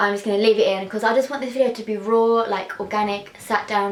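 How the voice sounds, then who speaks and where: A woman at a medium pitch talks with fairly even intonation over noticeable background noise. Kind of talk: casual talk to camera. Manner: hesitant, with repeated syllables.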